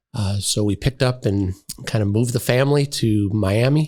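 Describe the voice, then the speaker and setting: A man's voice, fairly low in pitch and somewhat breathy. The tone is dark and mellow. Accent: Wisconsin. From Wisconsin. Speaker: podiatrist and college dean. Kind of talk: casual interview.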